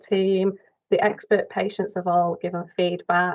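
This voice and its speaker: In a Mancunian accent, a woman speaks at a fairly slow pace. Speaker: dialysis nurse presenting a quality improvement project. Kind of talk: project update presentation in online workshop. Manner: hesitant, many fillers.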